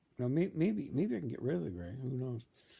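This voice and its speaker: A man talks with a medium pitch and a dark, mellow tone. His pitch swings very widely. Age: 60s. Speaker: vlogger documenting his fast. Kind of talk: casual video monologue. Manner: halting, many restarts and fillers.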